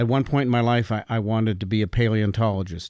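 With an American accent, a man speaks at a very fast pace in a fairly low, dark, mellow voice with fairly even intonation, on a very clean recording with a silent background. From Utah, US. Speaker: company founder and CEO. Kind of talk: interview.

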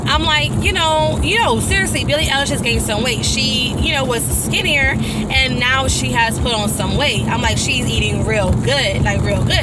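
Over music in the background, a woman talks at a moderate pace with hardly any pauses. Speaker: vlogger. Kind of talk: casual vlog chat. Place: car. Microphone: phone near.

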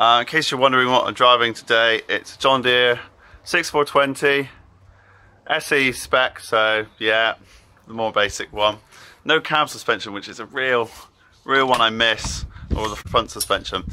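A man talks at a fairly slow pace with ordinary pitch variation. Long pauses come often. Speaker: farmer vlogger. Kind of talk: casual vlog chat. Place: farm machine. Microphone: phone near.

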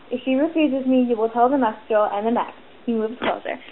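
A woman talks at a very fast pace with a fairly high pitch and ordinary pitch variation. Noticeable background noise runs behind her. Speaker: amateur book reader. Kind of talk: reading aloud. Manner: occasional stutters.

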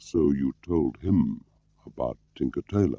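A man's put-on character voice, soft-spoken and extremely low, with a dark, mellow tone, vocal fry and lively intonation. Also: fairly slow pace, dry, close sound with no echo.

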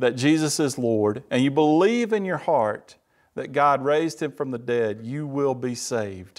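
Lively intonation from a man with a Mississippi accent, over a quiet background. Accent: Southern US (Mississippi). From US South, Mississippi. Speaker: church member giving testimony; speaker. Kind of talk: testimony; sermon-style testimony. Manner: halting, repeats words. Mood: earnest, warm. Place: studio. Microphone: lapel.

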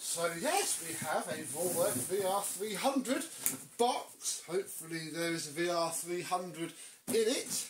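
Very slow speech comes through over noticeable background noise. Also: man. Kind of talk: casual unboxing vlog chat. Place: home room. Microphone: camera far.

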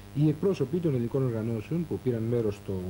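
A man speaks at a fairly quick pace with a medium pitch, lively intonation and a dark, mellow, somewhat breathy tone. Light background noise is present. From Greece. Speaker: news presenter. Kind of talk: 1984 TV news bulletin, formal scripted newsreading. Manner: formal, measured, steady and authoritative. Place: studio. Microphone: lapel.

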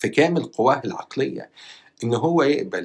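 Here a man speaks at a fairly slow pace. He has an Egyptian accent. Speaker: YouTuber news commentator. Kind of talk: news commentary monologue. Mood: disapproving, serious. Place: home room. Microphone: lapel.

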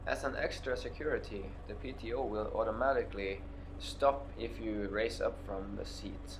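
Speaking at a moderate pace, a man talks with a Norwegian accent. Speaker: YouTuber reviewing his tractor. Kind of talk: product review. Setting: outdoors with tractor. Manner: hesitant, many fillers.

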